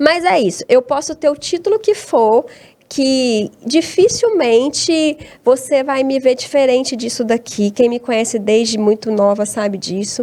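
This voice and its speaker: Her pitch is high and her intonation lively. This woman talks at a fairly slow pace in a dark, mellow tone. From Brazil, Tocantins (born in Abaeté, Minas Gerais). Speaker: academic researcher and teacher. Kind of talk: interview conversation. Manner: hesitant, with many repeated words.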